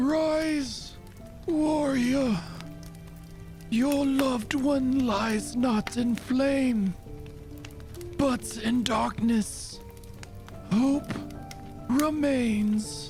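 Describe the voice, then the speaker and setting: A man puts on a character voice, hoarse and raspy, at an extremely high pitch with clear music behind him. He talks very slowly, with long, frequent pauses. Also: very even loudness. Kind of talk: prophetic oracle speech. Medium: actual play. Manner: cryptic, solemn.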